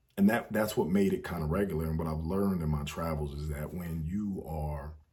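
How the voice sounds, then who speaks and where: Somewhat breathy and relaxed in tone, a man with an American accent speaks at a moderate pace with a very deep, low pitch, and audible room echo surrounds him. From United States. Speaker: travel storyteller vlogger. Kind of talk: casual storytelling monologue. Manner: relaxed, with many fillers.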